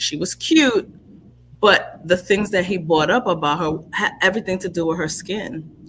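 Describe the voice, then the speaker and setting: A woman speaks in a New York accent at a moderate pace. Her pitch is medium, with ordinary variation. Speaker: livestream talk show host. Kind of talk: casual conversation. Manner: conversational.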